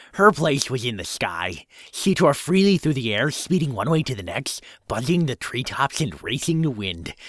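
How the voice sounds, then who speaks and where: A man speaks in a put-on character voice that sounds nasal, with medium pitch and a moderate pace. The recording is very clean, with a silent background. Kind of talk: fan fiction reading with improvised voices.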